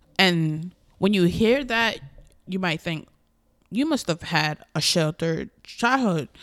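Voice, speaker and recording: In a Caribbean accent, a woman with a fairly low pitch speaks very slowly with long, frequent pauses on a very clean recording with a silent background. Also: lively intonation. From US Virgin Islands. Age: 20s. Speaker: podcaster. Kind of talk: casual personal monologue. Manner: candid, conversational.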